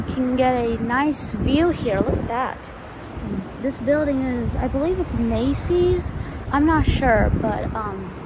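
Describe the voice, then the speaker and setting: A woman talks at a very slow pace over loud background noise. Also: ordinary pitch variation, dry sound with no echo. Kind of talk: casual vlog commentary. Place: street. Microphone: phone near.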